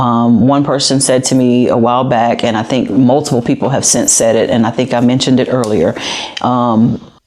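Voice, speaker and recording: An American accent with monotone, flat intonation, very even loudness and a fairly quick pace, amid noticeable background noise. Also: woman, very deep, low pitch for a woman. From US South. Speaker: police captain. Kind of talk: podcast interview.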